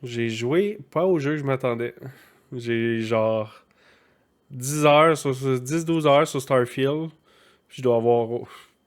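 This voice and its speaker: A man with a Quebec accent speaks at a medium pitch with ordinary pitch variation. His pace is very slow, with long, frequent pauses. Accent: Québécois French. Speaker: gaming podcast co-host. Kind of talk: casual chat.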